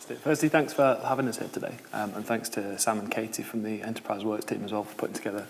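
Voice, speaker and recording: This man has a Yorkshire accent and a medium pitch. Noticeable background noise sits behind him. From York, northern England. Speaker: social enterprise founder. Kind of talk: panel discussion.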